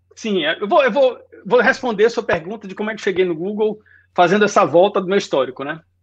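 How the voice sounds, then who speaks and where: A man's high-pitched voice at a very fast pace against a quiet background. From Brazil, Salvador, Bahia. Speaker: design lead. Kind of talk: casual interview.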